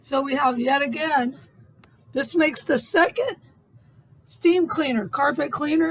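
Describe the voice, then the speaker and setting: Shouting in a put-on character voice, a woman with a raspy, high-pitched voice and lively intonation speaks at a moderate pace broken by long, frequent pauses. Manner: yelling.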